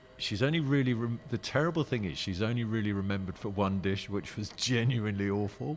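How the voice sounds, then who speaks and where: Speaking very fast with hardly any pauses, this voice has lively intonation and a southern English accent. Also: man, fairly low pitch for a man. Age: 50s. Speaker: restaurant owner. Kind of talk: casual interview. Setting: in a restaurant. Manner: halting.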